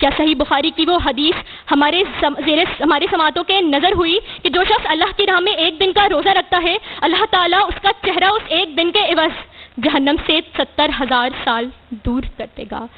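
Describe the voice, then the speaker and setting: An extremely high-pitched woman's voice against noticeable background noise. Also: ordinary pitch variation. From Pakistan. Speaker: debater, public speaker; college student. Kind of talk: competition speech, religious oration. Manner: impassioned, declamatory.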